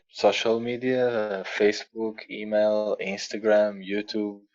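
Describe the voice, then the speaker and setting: A man with a non-native accent, fairly low in pitch, at a fairly slow pace with monotone, flat intonation. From Portugal. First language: Portuguese. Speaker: musician and sound healer. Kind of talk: interview podcast. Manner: halting, repeating words.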